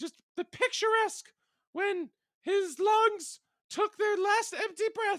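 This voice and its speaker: A man's put-on character voice, squeaky and extremely high in pitch, with a dramatic tone. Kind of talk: parody audiobook reading. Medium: read story. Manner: mock-dramatic, ad-libbing.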